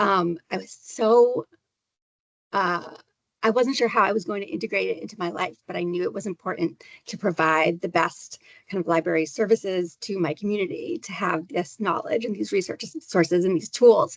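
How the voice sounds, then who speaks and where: This woman's voice sits at a medium pitch. Her pitch varies in an ordinary way. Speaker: graduate student panelist, librarian. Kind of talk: panel Q&A. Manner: fast; animated.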